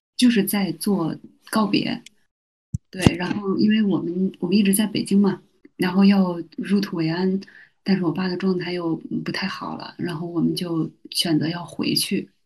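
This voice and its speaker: Speech comes at a moderate pace with ordinary pitch variation and long, frequent pauses. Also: woman, medium pitch for a woman. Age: 30s. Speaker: university teacher and mother. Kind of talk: casual interview.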